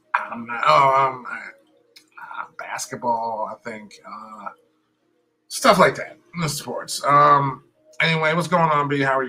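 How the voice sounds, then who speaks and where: A man talks at a very slow pace, his loudness swinging widely from moment to moment. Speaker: sports podcast host. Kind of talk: casual chat. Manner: halting.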